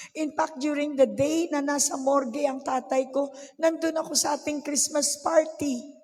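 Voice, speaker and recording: The speaker has an animated tone and a moderate pace. Noticeable background noise runs underneath. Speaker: pastor. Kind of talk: sermon.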